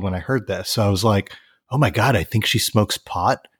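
An ordinary speaking voice with an American accent moves at a fairly quick pace. The sound is dry and close with no echo, on a very clean recording with a silent background. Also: man. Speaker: musician and record label owner. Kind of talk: casual interview chat.

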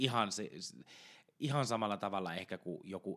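A man with a normal speaking voice talks at a moderate pace in a fairly low pitch with ordinary pitch variation. The recording is very clean, with a silent background. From Ostrobothnia, Finland. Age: 20s. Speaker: intensive care nurse and podcast co-host. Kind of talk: casual chat. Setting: home studio.

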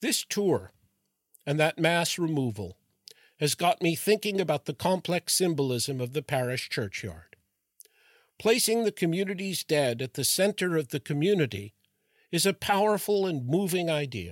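On a very clean recording with a silent background and a dry, close sound with no echo, a man speaks at a fairly high pitch with lively intonation. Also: moderate pace. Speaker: podcast host and retired professor. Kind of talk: scripted narration. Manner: formal.

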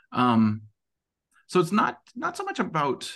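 A man with an American accent and vocal fry, against a quiet background. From Montana, US. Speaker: tech recruiter. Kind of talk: interview conversation. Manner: animated; many fillers.

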